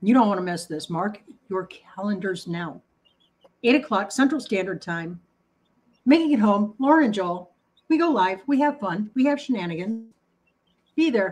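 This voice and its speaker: A somewhat breathy woman with very wide pitch swings and long, frequent pauses. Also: medium pitch for a woman, moderate pace. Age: 50s. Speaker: co-host of cooking livestream. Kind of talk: casual chat. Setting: livestream. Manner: animated.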